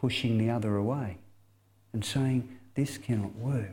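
With an Australian accent, a man speaks at a medium pitch and fairly slow pace, his tone dark and mellow and his intonation fairly even. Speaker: mission speaker, former youth pastor. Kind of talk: sermon.

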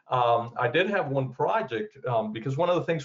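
A man speaks at medium pitch and a moderate pace. His intonation is lively. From South Florida (born in Cuba). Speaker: construction educator and manager. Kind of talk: interview. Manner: halting, many fillers.

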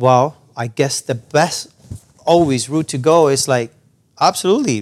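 A man's fairly high voice with a Spanish accent and ordinary pitch variation. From Cuba. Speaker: percussionist and music educator. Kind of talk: interview conversation. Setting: studio lounge.

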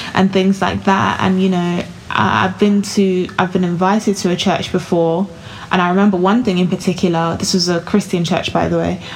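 At a fairly quick pace, the voice holds very even loudness and monotone, flat intonation, with noticeable background noise behind it. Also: woman, medium pitch for a woman. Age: 20s. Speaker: podcast host, finance site founder. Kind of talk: casual chat.

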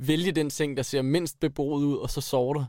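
In a very clean recording with a silent background, a man with an unremarkable speaking voice talks at a fairly quick pace and a fairly high pitch. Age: 20s. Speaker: engineering student. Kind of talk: interview.

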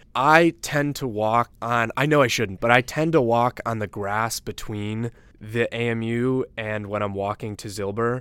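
Speaking in a plain, everyday voice with an American accent, a man at medium pitch moves at a fairly slow pace with hardly any pauses and ordinary pitch variation, in a dry, close sound with no echo. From Chicago suburbs, Illinois. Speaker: student government leader. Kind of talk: casual chat.

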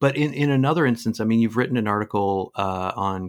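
Here a man uses a normal speaking voice at a fairly quick pace. His pitch varies in an ordinary way. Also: very clean recording, silent background. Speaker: interviewer. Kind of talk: interview.

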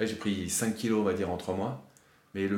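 Audible room echo surrounds a man's very deep, low voice as he talks at a fairly quick pace. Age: 30s. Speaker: amateur bodybuilder sharing doping experience. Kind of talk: testimony.

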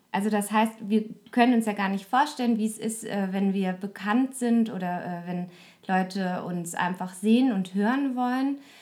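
A woman's normal speaking voice, medium in pitch, with ordinary pitch variation and a fairly slow pace. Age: 30s. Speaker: podcaster. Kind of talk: casual chat.

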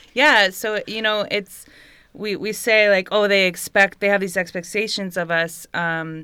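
Speaking fairly slowly with an American accent, a woman has a bright, sharp tone at a medium pitch, with ordinary pitch variation on a very clean recording over a silent background. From US West Coast, San Francisco Bay Area. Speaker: doula. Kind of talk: casual chat.

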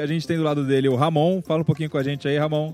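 A man talks very fast in a fairly high pitch. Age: 30s. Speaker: podcast host. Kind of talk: casual chat.

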